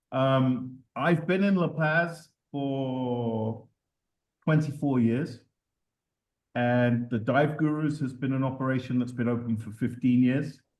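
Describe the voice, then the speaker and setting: Speaking at a very slow pace, a man keeps a medium pitch. His intonation is fairly even. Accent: London. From London, England. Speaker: dive operator and TV producer. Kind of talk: presentation. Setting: video call.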